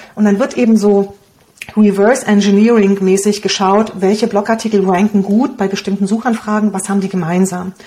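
A woman at medium pitch, a fairly quick pace, and fairly even intonation. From Romania. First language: Hungarian (speaking German). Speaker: blogger and online business coach. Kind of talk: interview.

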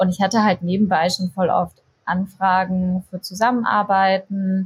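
Fairly slow, somewhat breathy speech from a woman at a medium pitch. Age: 20s. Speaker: content creator and yoga teacher. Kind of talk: casual interview.

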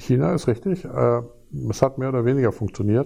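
A fairly slow man's voice at medium pitch, dark and mellow in tone. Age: 50s. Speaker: physics professor. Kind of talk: interview. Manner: hesitant, with many fillers.

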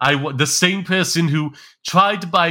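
A man on a very clean recording against a silent background. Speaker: podcast host and streamer. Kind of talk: casual banter podcast chat. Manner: joking, laughs often.

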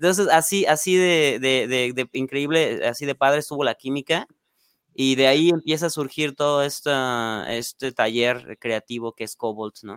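Dry and close with no echo, a man speaks at a medium pitch. His pitch variation is ordinary and his pace moderate. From Mexico, Salamanca, Guanajuato. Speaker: metal band guitarist. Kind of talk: casual interview. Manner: hesitant, many fillers.

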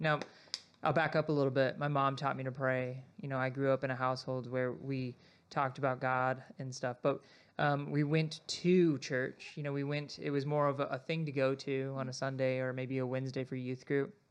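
An American-accented man talks at a moderate pace in a flat monotone. The background is quiet. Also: medium pitch for a man. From Arizona, Sierra Vista. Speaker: podcast host, church staff. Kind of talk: casual chat.

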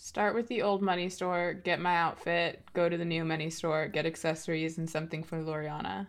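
A woman speaks at a fairly quick pace in an unremarkable speaking voice. Her pitch sits fairly low, and her intonation stays fairly even. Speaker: tabletop roleplaying game player. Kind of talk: casual chat.

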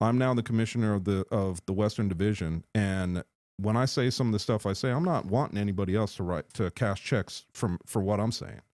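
A man with an unremarkable speaking voice talks at a fairly quick pace and a fairly low pitch, with ordinary pitch variation and hardly any pauses. The recording is very clean with a silent background and a dry, close sound with no echo. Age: 50s. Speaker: football panelist and league commissioner. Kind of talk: casual chat. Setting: studio.

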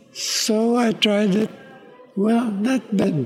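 A man with a Filipino accent at a very slow pace, with noticeable background noise. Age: 80s+. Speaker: violinist. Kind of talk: interview.

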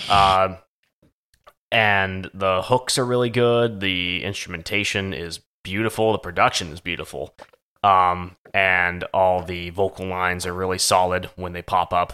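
A man speaks at a fairly slow pace with a very deep, low pitch, a bright, sharp tone and fairly even intonation. His loudness swings widely, on a very clean recording with a silent background. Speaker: podcast co-host, music discussion. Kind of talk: casual banter, podcast episode. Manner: profane, joking.

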